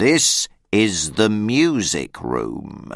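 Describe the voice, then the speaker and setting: A man's put-on character voice, fairly low in pitch, with very wide pitch swings. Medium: read story. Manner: terse, stern.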